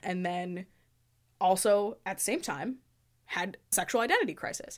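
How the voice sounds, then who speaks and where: A normal speaking voice at a fairly quick pace, on a very clean recording with a silent background. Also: woman. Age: 20s. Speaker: visual artist and theater designer. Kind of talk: casual chat.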